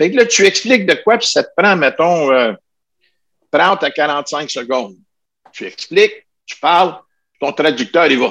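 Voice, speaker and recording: With long, frequent pauses, a man with a high pitch speaks at a fairly slow pace and makes very wide pitch swings. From Ottawa region, Canada. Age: 70s. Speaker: martial arts master. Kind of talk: interview.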